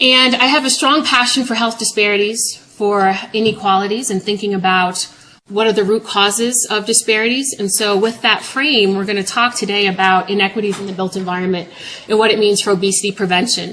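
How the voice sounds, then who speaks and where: In an American accent, a woman speaks at a fairly quick pace with fairly even intonation over noticeable background noise. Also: medium pitch for a woman. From New York. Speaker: public health professor. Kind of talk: lecture. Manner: fast.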